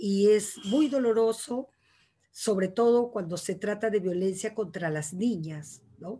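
Woman with ordinary pitch variation at a fairly slow pace. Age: 60s. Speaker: poet and writer; panelist, feminist educator. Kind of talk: casual chat. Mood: reflective, earnest. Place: home room. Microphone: video call.

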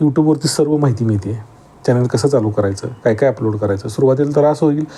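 With lively intonation, a man speaks in a normal speaking voice. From Maharashtra, Sangli district (Atpadi). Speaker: farmer YouTuber. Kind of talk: casual vlog talk to camera.

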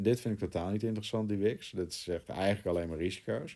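A fairly low-pitched man's voice, dark and mellow in tone, on a very clean recording with a silent background. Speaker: crypto trading YouTuber. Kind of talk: chart analysis tutorial.

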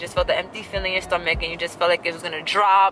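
The sound is dry with no echo, with light background noise. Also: woman. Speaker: vlogger. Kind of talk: casual vlog chat. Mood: excited, upbeat. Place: car. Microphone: phone near.

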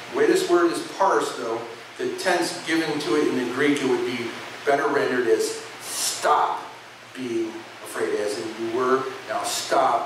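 Audible room echo and noticeable background noise surround a man as he speaks. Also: fairly slow pace. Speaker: preacher giving a sermon; pastor. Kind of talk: sermon, teaching to a congregation. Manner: casual, conversational, explanatory. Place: church.

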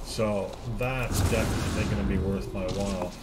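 A man talks fairly slowly against loud background noise. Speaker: game streamer. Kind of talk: gameplay commentary. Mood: pleased, upbeat. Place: home room.

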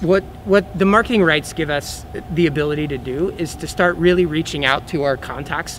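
Noticeable background noise surrounds a man with an American accent. His pitch is fairly high and his pace fairly quick. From Oklahoma. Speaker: film studio entrepreneur. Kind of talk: news interview. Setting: on location in a convention arena.

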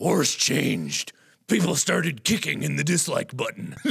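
A man speaks at a moderate pace in a put-on character voice that is gruff and raspy. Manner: dramatic, mocking.

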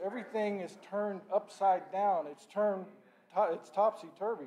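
Light background noise sits behind a man speaking at a fairly slow pace. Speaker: lay preacher. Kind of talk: sermon. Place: church. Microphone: podium.

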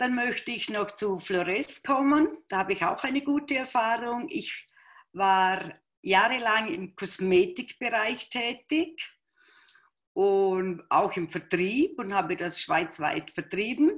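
In a quiet background, a woman with a fairly high pitch speaks very slowly, her pitch swinging very widely. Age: 60s. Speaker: product user; interviewee. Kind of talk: testimony. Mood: warm, enthusiastic testimonial. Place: home room. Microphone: video call.

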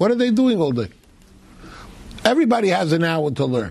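At a moderate pace, a man is speaking. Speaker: religious teacher. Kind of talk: lecture. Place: classroom.

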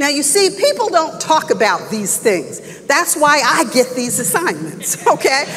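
At a fairly slow pace, the voice carries a warm tone over faint music in the background. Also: woman. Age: 60s. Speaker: church elder and Bible teacher; Bible teacher. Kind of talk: expository Bible teaching sermon to a congregation, conversational and exhortative. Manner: warm, conversational preaching with rising emphatic exhortation. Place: church.

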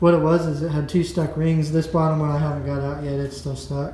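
A man talks at a moderate pace with monotone, flat intonation. There is audible room echo and light background noise. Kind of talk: casual vlog chat. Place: garage. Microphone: phone near.

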